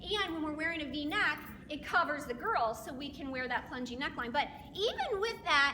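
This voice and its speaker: A woman speaks in a high pitch with a raised, projected voice at a fairly quick pace. Her tone is animated and her intonation lively, over noticeable background noise. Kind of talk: sales presentation.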